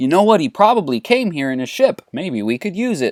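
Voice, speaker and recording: A man's high-pitched, put-on character voice, fairly quick in pace and full of very wide pitch swings. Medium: solo performance. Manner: matter-of-fact.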